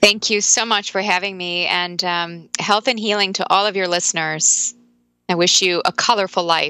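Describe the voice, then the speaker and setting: Her tone bright and sharp, a woman speaks at a medium pitch with fairly even intonation on a very clean recording with a silent background. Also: moderate pace. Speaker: author, nutrition expert. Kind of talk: interview, conversational.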